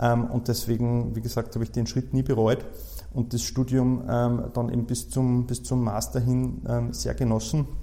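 Keeping his loudness very even, a man speaks at a fairly slow pace. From Austria, Salzburg region (Saalbach-Hinterglemm). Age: 30s. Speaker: insolvency lawyer. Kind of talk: interview.

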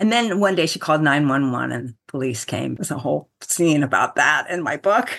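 A woman with a very deep, low pitch and vocal fry, at a moderate pace with hardly any pauses and very wide pitch swings. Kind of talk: interview.

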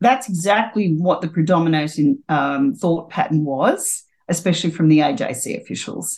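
A woman talks with an Australian accent at a fairly low pitch. Her intonation is lively. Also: moderate pace. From Australia, New South Wales country (Taree). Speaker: former jockey and HR consultant. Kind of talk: interview.

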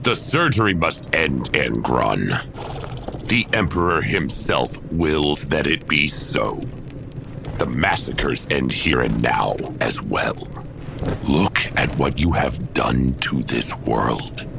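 Loud background noise fills the recording. A man speaks at a very slow pace with very even loudness. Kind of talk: audio drama acting. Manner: calm, firm, reproachful.

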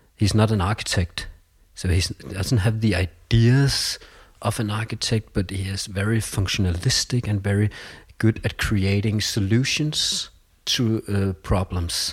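A man speaks at a fairly slow pace with a fairly low, somewhat breathy voice and fairly even intonation. The recording is very clean, with a silent background. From Denmark (Copenhagen). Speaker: school vice principal. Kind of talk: interview conversation. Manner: halting, frequent repetitions.

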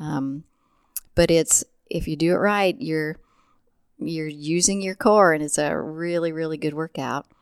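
Pausing long and often, a woman with a Midwestern American accent speaks fairly slowly in a very deep, low pitch. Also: ordinary pitch variation. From central Illinois. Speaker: physical therapist and dragon boat paddler. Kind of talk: casual interview.

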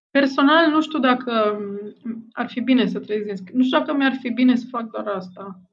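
Moderate pace with ordinary pitch variation. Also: woman, high pitch for a woman. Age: 40s. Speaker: anthropologist and novelist. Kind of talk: interview. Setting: remote call.

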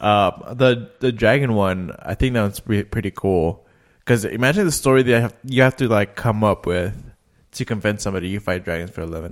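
Fairly low in pitch, a man talks in a plain, everyday voice at a fairly quick pace with ordinary pitch variation. The recording is very clean, with a silent background. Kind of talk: casual chat.

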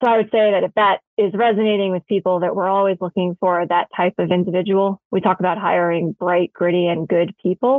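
A woman with a normal speaking voice talks at a fairly quick pace in a medium pitch, with hardly any pauses and very even loudness. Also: fairly even intonation. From New York City. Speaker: energy company co-founder and executive. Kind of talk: interview.

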